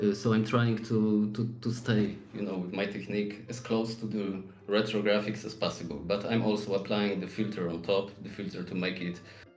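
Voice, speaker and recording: A man with a fairly low voice talks in a monotone, flat way, with hardly any pauses. Noticeable background noise and audible room echo fill the recording. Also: moderate pace. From Poland. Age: 40s. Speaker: 3D artist. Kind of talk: interview. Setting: live stream. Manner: halting.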